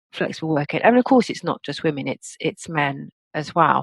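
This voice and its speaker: A woman's voice in an English accent. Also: dry, close sound with no echo. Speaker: coach and author. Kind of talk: interview.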